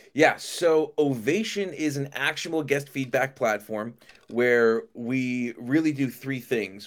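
An ordinary speaking voice belongs to a man talking at a fairly high pitch and a moderate pace, with ordinary pitch variation. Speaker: restaurant software company founder. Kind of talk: casual interview chat. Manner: casual, friendly.

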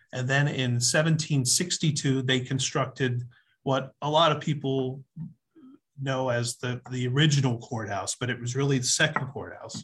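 A man with an American accent, an ordinary speaking voice, a medium pitch, fairly even intonation and a fairly slow pace. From Pennsylvania, Berks County. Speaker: county official. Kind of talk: interview.

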